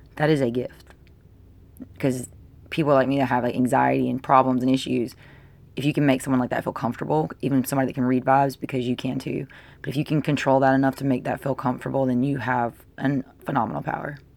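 Very deep and low, a woman's voice races at a very fast pace. Her intonation stays monotone and flat. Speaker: tarot reader. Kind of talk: tarot reading monologue. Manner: casual, filler-heavy.

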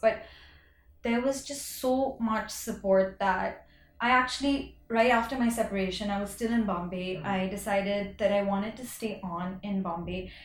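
A woman speaks with a fairly high pitch. There is audible room echo. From India. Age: 30s. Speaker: fashion entrepreneur. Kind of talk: casual interview chat.

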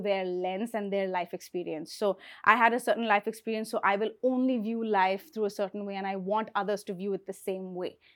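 On a very clean recording with a silent background, a woman speaks in an animated tone at a moderate pace with ordinary pitch variation. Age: 30s. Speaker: beauty content creator and brand co-founder. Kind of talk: casual interview chat.

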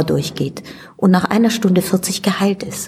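A woman at a medium pitch over noticeable background noise. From Italy. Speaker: stage director and actress. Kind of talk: interview.

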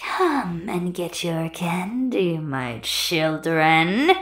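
In a put-on character voice at middle pitch, the speaker goes very slowly. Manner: haunting.

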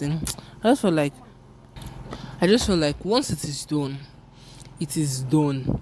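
With noticeable noise behind her, a woman speaks at a moderate pace in a Yoruba accent. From Nigeria. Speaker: podcaster. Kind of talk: casual solo monologue. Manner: casual, rambling.

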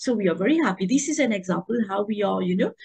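A woman's medium-pitched voice, somewhat breathy, shifts in pitch in an ordinary way. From Mauritius. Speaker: tourism professor, association vice president. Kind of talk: interview. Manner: hesitant with fillers.

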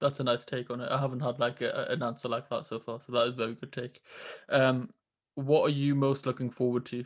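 A man with a British accent and a medium pitch speaks very fast in a monotone, flat intonation. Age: 20s. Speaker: podcast host. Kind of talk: interview conversation. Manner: hesitant, repeats words.

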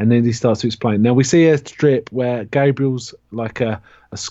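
A man's dark, mellow tone with a British accent, medium pitch, fairly even intonation and a moderate pace. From UK. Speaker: horror podcast co-host. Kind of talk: casual chat about comics.

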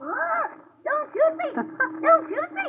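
The voice here is a put-on character voice. It sits at an extremely high pitch. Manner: squawking, frightened.

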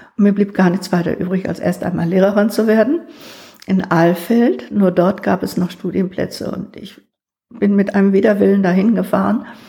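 With a dark, mellow tone and vocal fry, a woman speaks at medium pitch and a moderate pace, with ordinary pitch variation. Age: 70s. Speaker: retired school principal. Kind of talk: life-story interview.

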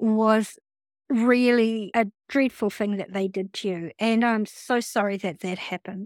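A woman with a fairly high pitch speaks at a fairly slow pace with fairly even intonation, in a very clean recording that is dry and close, with no echo and a silent background. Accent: New Zealand. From New Zealand. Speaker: podcast host. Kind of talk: interview.

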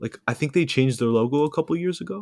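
On a very clean recording with a silent background, a man speaks at a fairly high pitch with lively intonation. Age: young. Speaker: student, podcast guest. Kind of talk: casual chat. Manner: halting.

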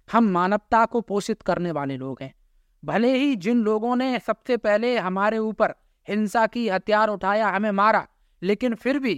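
An animated tone comes through on a very clean recording with a silent background and a dry, close sound with no echo. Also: man. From Uttar Pradesh, India. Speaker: youth speaker, gurukul-educated. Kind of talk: interview, speech-like oratory.

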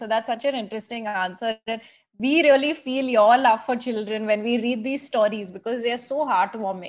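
A woman with a normal speaking voice and fairly high pitch talks at a moderate pace over a quiet background. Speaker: podcast host and editor. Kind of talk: interview.

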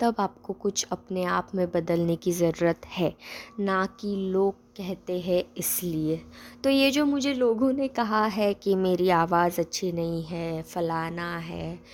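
A woman's medium-pitched voice carries ordinary pitch variation. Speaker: podcast host. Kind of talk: casual monologue. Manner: hesitant, many pauses.

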